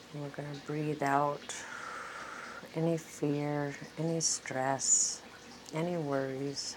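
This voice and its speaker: Over noticeable background noise, a woman speaks at a very slow pace in a very deep, low pitch. Her intonation is monotone and flat, with long, frequent pauses. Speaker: meditation guide. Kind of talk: guided meditation. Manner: slow, calm, soothing; gentle, repetitive, paced with pauses.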